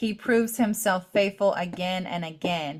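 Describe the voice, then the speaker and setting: A woman's voice comes across as shaky. Her pitch varies in an ordinary way. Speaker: faith podcast co-host. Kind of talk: casual chat. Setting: live video call.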